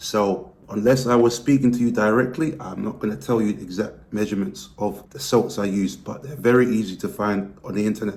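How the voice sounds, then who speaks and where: With a British accent, a man speaks at a fairly quick pace. His pitch varies in an ordinary way. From Britain. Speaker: weight loss vlogger. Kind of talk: vlog monologue.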